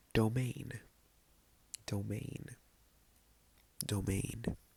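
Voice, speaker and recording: The voice is soft-spoken. It moves at a very slow pace. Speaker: ASMR creator. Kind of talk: ASMR Spanish vocabulary lesson.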